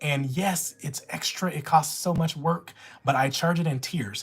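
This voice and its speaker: A woman with an American accent, animated in tone and somewhat breathy, with ordinary pitch variation. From Louisiana. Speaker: notary live streamer. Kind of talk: live stream Q&A.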